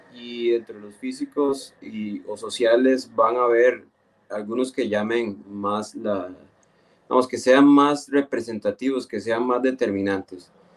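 Speaking at a very slow pace, a man with a medium pitch keeps a fairly even intonation while his loudness swings widely. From Costa Rica, Esparza (Puntarenas). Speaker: geographer, municipal urban planner. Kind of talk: radio interview. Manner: halting, frequent repetitions.

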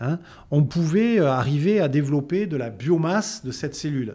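A man's lively intonation comes through at a fairly slow pace. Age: 60s. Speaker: biologist and entrepreneur. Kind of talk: interview. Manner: hesitant, repeats words.

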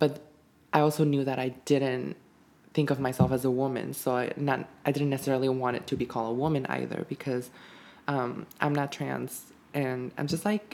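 Her intonation fairly even, a woman speaks with a very deep, low pitch. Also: moderate pace. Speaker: podcast co-host. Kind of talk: casual chat. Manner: calm and soothing with a microphone.

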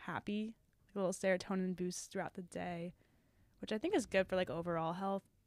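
An unremarkable speaking voice at a fairly quick pace, fairly even intonation, very clean recording with a silent background. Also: woman. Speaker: college student podcaster. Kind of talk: casual chat.

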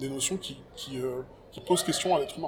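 A man's voice with ordinary pitch variation. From France, Paris banlieue (early childhood in Cameroon). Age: 40s. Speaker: rapper and writer. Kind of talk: casual interview conversation. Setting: outdoors.

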